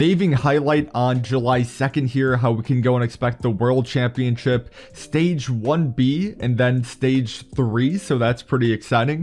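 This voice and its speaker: Speaking with hardly any pauses, a man holds a very even loudness at a medium pitch with ordinary pitch variation. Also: fairly slow pace. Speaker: gaming YouTuber. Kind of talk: gaming news commentary. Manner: soft-spoken.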